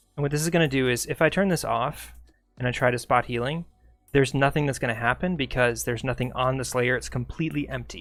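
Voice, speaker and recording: Music plays behind a man who talks at a very fast pace, his medium pitch showing ordinary variation. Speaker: streamer teaching photo editing. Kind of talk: live tutorial. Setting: live stream.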